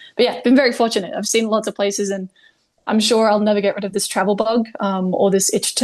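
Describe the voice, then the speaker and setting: Her intonation fairly even and her pitch fairly high, a woman talks in an unremarkable speaking voice. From Canada, Ontario. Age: 20s. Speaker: outdoor adventurer. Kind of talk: podcast interview.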